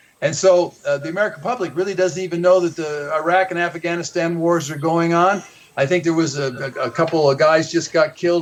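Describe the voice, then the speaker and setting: There is noticeable background noise as a man speaks at a very fast pace. His pitch is fairly high and his intonation fairly even. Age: 70s. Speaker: author and activist on overpopulation. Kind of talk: talk radio interview. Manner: halting, many repetitions.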